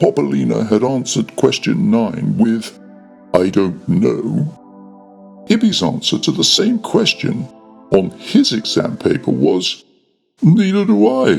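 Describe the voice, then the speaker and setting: A man's put-on character voice at medium pitch and a fairly slow pace, with faint music in the background. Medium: read story. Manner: authoritative.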